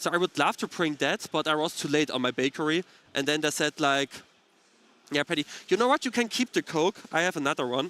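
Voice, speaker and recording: A bright, sharp voice at a fairly quick pace, with ordinary pitch variation, in a very clean recording with a silent background and a dry, close sound with no echo. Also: man, fairly high pitch for a man. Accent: German. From eastern Germany (Dresden area). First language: German. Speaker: card game commentator. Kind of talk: casual chat. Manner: halting, many fillers.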